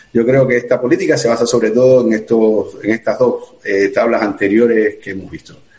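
A man talks at a fairly quick pace with hardly any pauses, over noticeable background noise. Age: 40s. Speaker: emergency doctor. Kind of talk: live-streamed interview. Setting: video call.

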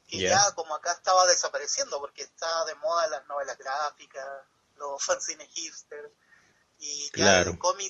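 In a Chilean accent, a man talks at a high pitch with ordinary pitch variation. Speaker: comic artist. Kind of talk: casual chat.

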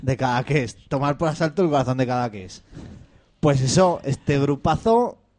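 Lively in intonation with big swings in loudness, a man speaks at a moderate pace with a fairly high pitch. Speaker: community radio host. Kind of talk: casual chat.

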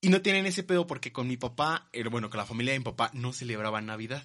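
The man's intonation rises and falls in a lively way. He speaks very fast. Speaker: podcast host. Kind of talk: casual chat.

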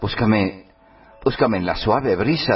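A man talks at a fairly slow pace. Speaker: radio host. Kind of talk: poetry declamation of romantic, sensual verse, read dramatically. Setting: online radio studio.

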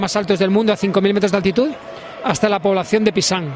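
A man talks in a high pitch against noticeable background noise. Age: 50s. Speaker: adventure athlete and event organizer. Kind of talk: interview. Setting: trade fair. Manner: halting.

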